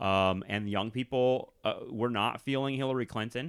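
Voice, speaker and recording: Medium-pitched male speech at a moderate pace, with ordinary pitch variation. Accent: Californian. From California. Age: young. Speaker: historian and podcast host. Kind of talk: interview. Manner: halting, many fillers.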